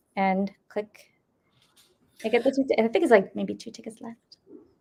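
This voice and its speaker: The voice carries an American accent and vocal fry. It moves at a moderate pace with ordinary pitch variation. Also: woman. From upstate New York. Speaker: paranormal show co-host. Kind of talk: casual chat. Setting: live stream video call.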